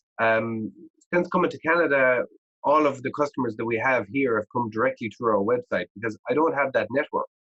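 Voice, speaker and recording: Talking at a fairly quick pace, a man uses an Irish accent. His voice sits at a medium pitch with ordinary pitch variation. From Ireland. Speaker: agritech startup founder and engineer. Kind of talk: podcast interview. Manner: hesitant, many fillers and repetitions.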